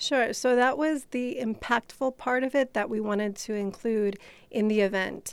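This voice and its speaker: A woman with an American accent has a normal speaking voice. She talks at a moderate pace, her fairly high pitch showing ordinary variation. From Chicago. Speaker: nonprofit co-founder. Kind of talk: radio interview.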